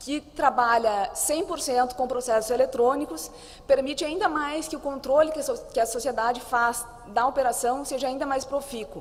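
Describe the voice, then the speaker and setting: A high-pitched woman at a moderate pace with ordinary pitch variation, amid noticeable background noise and audible room echo. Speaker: conference panelist on anti-corruption investigations. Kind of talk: conference presentation.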